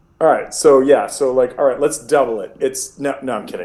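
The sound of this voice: An unforced reading voice carries the text.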